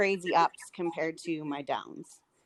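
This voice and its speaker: At a fairly slow pace, a woman speaks in a plain, everyday voice with ordinary pitch variation and a dry, close sound with no echo. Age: 30s. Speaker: podcast guest. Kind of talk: casual interview chat.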